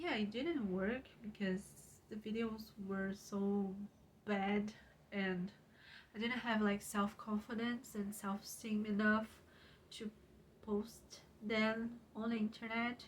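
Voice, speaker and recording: In a Portuguese accent, a woman with a fairly high pitch speaks at a very slow pace, using fairly even intonation and long, frequent pauses. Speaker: YouTuber and writer. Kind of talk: casual vlog talk. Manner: halting, with many fillers.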